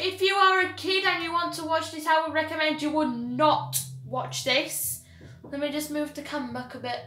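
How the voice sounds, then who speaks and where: A woman's raised, projected voice has a bright, sharp tone, ordinary pitch variation, and a moderate pace. Light background noise and audible room echo are present. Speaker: gamer. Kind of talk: casual gaming commentary. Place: home room. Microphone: camera far.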